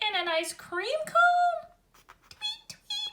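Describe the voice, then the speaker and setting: A squeaky put-on character voice sits at an extremely high pitch. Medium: read story. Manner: cheerful, giggly.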